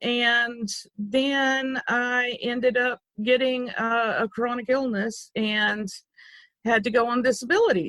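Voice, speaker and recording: Here a woman speaks with an Arkansas accent. Her voice sits high in pitch. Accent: Arkansas Southern. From US South, Arkansas. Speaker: loom designer. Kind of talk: interview.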